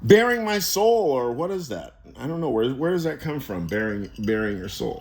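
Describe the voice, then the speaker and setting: Over noticeable background noise and audible room echo, a man with a fairly high voice talks at a moderate pace, his pitch swinging very widely. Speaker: YouTuber talking about philosophy. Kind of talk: casual monologue. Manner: halting.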